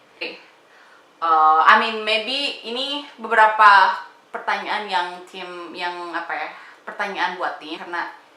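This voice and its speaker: A woman at a fairly slow pace with lively intonation, amid audible room echo and noticeable background noise. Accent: strong Sundanese. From Indonesia, Bandung (West Java). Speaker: family vlogger. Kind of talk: casual Q&A chat to viewers.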